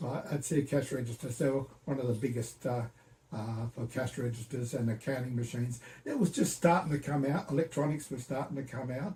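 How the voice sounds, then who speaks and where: In an Australian accent, a man talks fairly quickly at a medium pitch with ordinary pitch variation. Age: 80s+. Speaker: retired computer engineer. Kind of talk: interview answer.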